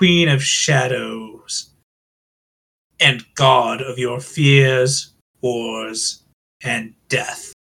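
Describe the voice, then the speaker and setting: A booming put-on character voice at a low-to-middle pitch and a very slow pace. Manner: menacing, imperious.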